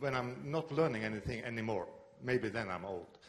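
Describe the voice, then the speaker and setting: A man with a Norwegian accent talks at a moderate pace in a somewhat breathy voice, with audible room echo around him. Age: 60s. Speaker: video journalist. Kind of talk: conference presentation.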